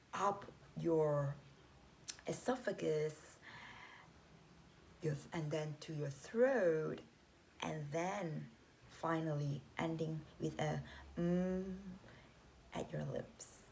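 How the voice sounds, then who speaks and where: A woman speaks very slowly and calmly, with long, frequent pauses. Her voice is somewhat breathy and very deep and low in pitch. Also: ordinary pitch variation. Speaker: meditation guide. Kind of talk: guided meditation instruction. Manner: calm, instructive.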